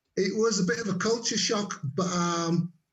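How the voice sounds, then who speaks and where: In a Yorkshire accent, a man talks fairly slowly in a high voice, with audible room echo. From Leeds, Yorkshire, northern England. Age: 60s. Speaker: network marketer and former air force cook. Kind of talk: interview. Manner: halting.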